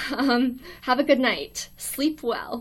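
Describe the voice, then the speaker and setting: The speaker has an American accent. The recording is very clean, with a silent background. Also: woman. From US. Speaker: college student live streamer. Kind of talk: casual live stream chat. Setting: live stream in a quiet dorm room. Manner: awkward, hesitant with many ums.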